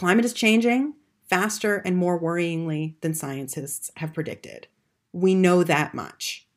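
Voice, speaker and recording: With a General American accent and an ordinary speaking voice, a woman talks at a fairly slow pace and fairly low pitch. Her pitch variation is ordinary, on a very clean recording with a silent background. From United States. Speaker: podcast host. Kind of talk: solo podcast monologue, scripted-style.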